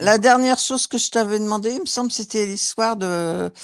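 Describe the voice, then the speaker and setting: Recorded dry and close with no echo, a woman speaks at a medium pitch on a very clean recording with a silent background. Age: 60s. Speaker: hypnosis session client. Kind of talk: casual chat. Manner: halting.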